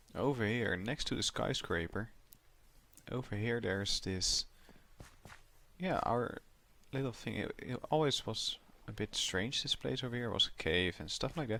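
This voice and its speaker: With a non-native accent, a man speaks at a moderate pace in a bright, sharp, medium-pitched voice with lively intonation and long, frequent pauses. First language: not English. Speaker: gaming YouTuber. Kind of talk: gameplay commentary. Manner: mumbling, soft when thinking; halting, repetitive.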